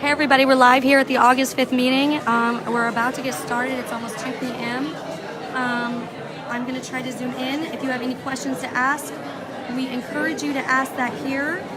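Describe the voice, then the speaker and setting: Amid crowd noise and audible room echo, a woman talks at a fairly quick pace in a high pitch with monotone, flat intonation. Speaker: livestream host of community meeting. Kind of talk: casual livestream introduction. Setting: livestream at community meeting.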